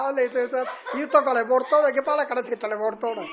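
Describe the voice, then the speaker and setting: A man with a Haryana accent speaks in an extremely high voice with fairly even intonation. Background noise is noticeable. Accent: Haryanvi. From Haryana, India. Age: 70s. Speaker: retired shopkeeper. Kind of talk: interview answer.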